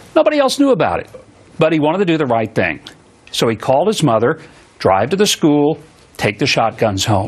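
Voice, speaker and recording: Over noticeable background noise, a man with a fairly high pitch talks at a fairly quick pace, his pitch swinging very widely between long, frequent pauses. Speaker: TV talk show host. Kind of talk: opening monologue on a political commentary show. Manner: earnest, indignant.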